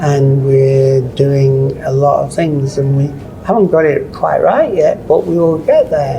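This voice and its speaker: Noticeable noise sits in the background of this fairly slow speech. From South Africa. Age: 60s. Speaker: paint industry consultant. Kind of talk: interview. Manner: halting.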